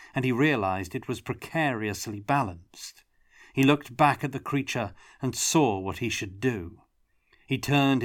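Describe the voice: The background stays quiet during this plain reading aloud.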